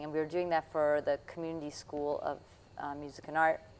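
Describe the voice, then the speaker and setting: A woman's very deep, low voice with a Russian accent, monotone, flat intonation and a moderate pace. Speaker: puppeteer and jazz musician. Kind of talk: interview.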